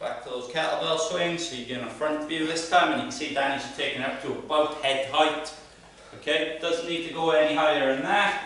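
Strong room echo surrounds a man who speaks at a fairly quick pace with fairly even intonation. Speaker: fitness coach. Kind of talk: workout instruction. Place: gym.

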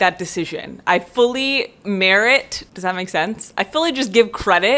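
A woman's bright, sharp tone with lively intonation. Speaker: vlogger. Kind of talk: casual vlog chat. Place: home room. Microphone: earbuds.

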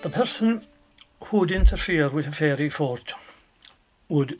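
A somewhat breathy man with an Irish accent, very wide pitch swings and a fairly slow pace. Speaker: storyteller. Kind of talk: traditional folk tale telling. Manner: conversational, animated.

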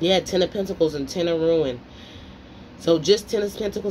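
A woman talks fairly quickly in an ordinary speaking voice at a fairly low pitch. Her pitch varies in an ordinary way over light background noise. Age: 30s. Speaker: tarot reader. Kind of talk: tarot reading monologue. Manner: casual, rambling speech. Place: home room. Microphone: phone near.

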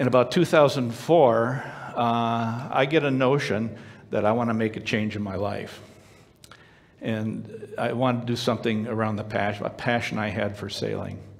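With fairly even intonation, a man speaks at a moderate pace. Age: 60s. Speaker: storyteller sharing personal testimony. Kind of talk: testimony. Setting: stage with audience. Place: stage.

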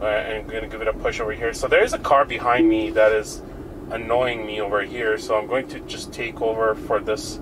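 At a fairly quick pace, the speech comes with noticeable background noise behind it. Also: man. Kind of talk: casual commentary. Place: car.

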